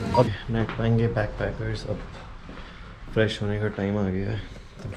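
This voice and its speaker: In an Indian accent, a man with a fairly low pitch talks at a fairly slow pace in a flat, monotone way. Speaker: travel vlogger. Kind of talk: vlog narration. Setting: backpackers hostel.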